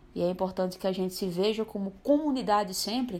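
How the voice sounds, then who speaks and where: In an unremarkable speaking voice, a woman speaks at a moderate pace with medium pitch and ordinary pitch variation. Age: 20s. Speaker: interviewee sharing LGBTQIA+ experience. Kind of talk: personal testimony.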